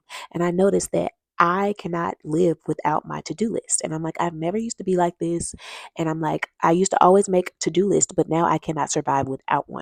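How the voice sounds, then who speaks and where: A woman with a fairly low pitch speaks in an animated tone at a fairly quick pace. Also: very clean recording, silent background. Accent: American. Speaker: vlogger giving relationship advice. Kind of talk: casual monologue to camera. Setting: at her desk at work. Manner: fast.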